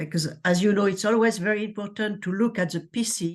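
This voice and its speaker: A woman speaks with a French accent and ordinary pitch variation. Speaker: lecture moderator. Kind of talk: Q&A moderation.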